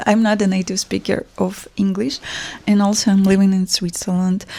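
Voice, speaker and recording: Heard in a dry, close sound with no echo, a woman with a Russian accent speaks at medium pitch in a monotone, flat intonation. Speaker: fashion brand founder. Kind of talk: personal vlog monologue. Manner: hesitant, with fillers.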